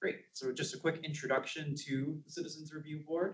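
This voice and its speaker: A man talking at a fairly quick pace. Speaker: citizen advisory board member. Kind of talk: presentation at public meeting. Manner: projecting voice. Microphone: speaking without a microphone.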